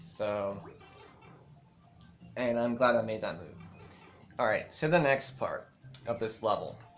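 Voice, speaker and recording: At a fairly slow pace, a man with a medium pitch leaves long, frequent pauses and uses ordinary pitch variation. Audible room echo surrounds him, with music in the background. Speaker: gaming content creator, level maker. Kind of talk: casual gameplay commentary. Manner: hesitant, many fillers.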